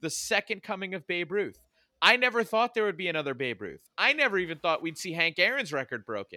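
Using an American accent, a man projects a raised, high-pitched voice with a bright, sharp tone at a fairly quick pace. His pitch swings very widely, and the sound is dry and close with no echo. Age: 40s. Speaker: sports podcast co-host. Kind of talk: casual chat. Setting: studio.

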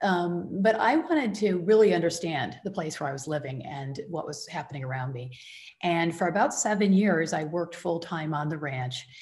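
The voice moves at a moderate pace with lively intonation and big swings in loudness. It sounds somewhat breathy. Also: woman, fairly low pitch for a woman. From US Midwest, Michigan. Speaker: rancher and author. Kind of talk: interview. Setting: radio show.

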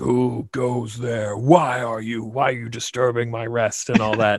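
Putting on a character voice, a man speaks at a medium pitch and a fairly slow pace. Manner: irritated, imperious.

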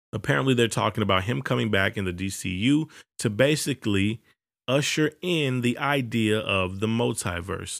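A man speaks in an ordinary speaking voice with lively intonation. The pace is moderate, and the recording is very clean with a silent background. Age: 20s. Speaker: podcast host. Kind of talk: casual monologue.

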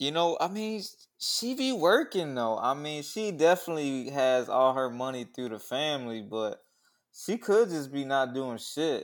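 Over a very clean recording with a silent background, a man talks at a fairly slow pace in a fairly high pitch with lively intonation. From US Midwest. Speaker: podcast co-host. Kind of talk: casual chat.

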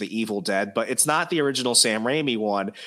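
A man speaks at medium pitch with ordinary pitch variation. His tone is bright and sharp. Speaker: podcast host. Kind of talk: casual chat. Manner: animated.

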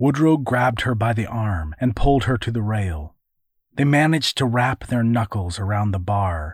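Plain reading aloud with lively intonation, over a quiet background.

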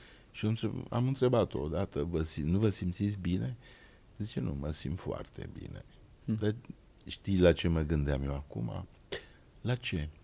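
A man's very deep, low voice with a dark, mellow tone, very wide pitch swings, a fairly slow pace, and long, frequent pauses. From Transylvania, Cluj. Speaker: actor and podcast host. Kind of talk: casual chat.

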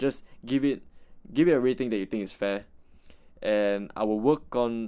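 A man's speech moves at a moderate pace, with ordinary pitch variation. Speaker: solo podcaster. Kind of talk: unscripted casual monologue. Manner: many filler words and hesitations.

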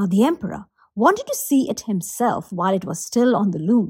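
This woman's voice sits at a medium pitch and is somewhat breathy. Her intonation is lively. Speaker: professional storyteller. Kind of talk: fairy-tale narration, storytelling performance.

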